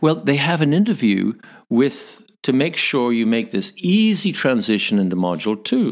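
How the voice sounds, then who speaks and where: A man with a Northern Irish accent speaks at a moderate pace and medium pitch, with very wide pitch swings. His loudness stays very even on a very clean recording with a silent background. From Northern Ireland. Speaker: missionary, former corporate jet pilot. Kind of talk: podcast interview answer, storytelling.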